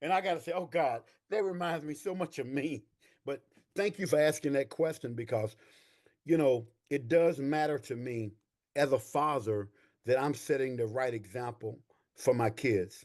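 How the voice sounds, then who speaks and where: With an East Texas accent, a man talks at a moderate pace in an animated tone, leaving long, frequent pauses. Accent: East Texas Southern US. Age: 60s. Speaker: army veteran and veterans' claims coach. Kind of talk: interview.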